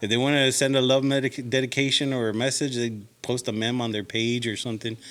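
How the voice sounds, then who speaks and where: Speaking at a very fast pace, a man with a South Texas accent keeps a medium pitch and fairly even intonation. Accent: South Texas Mexican-American English. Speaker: radio DJ. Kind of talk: interview answer. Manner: casual, mixes English and Spanish.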